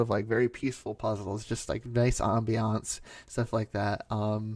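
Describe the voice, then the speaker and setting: Here is an ordinary speaking voice from a man with a fairly low pitch and fairly even intonation. He talks at a moderate pace on a very clean recording with a silent background. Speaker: ASMR creator / YouTuber. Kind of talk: casual talk to camera, Q&A. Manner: soft-spoken, relaxed.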